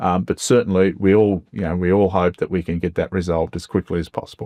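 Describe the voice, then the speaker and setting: A man with an Australian accent and a very deep, low pitch is heard in a dry, close sound with no echo against a quiet background. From Melbourne's west, Australia. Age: 60s. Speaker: member of parliament. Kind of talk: interview. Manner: hesitant, many fillers.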